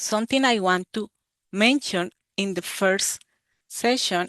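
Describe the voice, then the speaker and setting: Against a quiet background, a woman with a Colombian accent speaks at a very slow pace with ordinary pitch variation. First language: Spanish. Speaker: university extension educator. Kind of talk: webinar presentation. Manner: halting, with filler 'eh'.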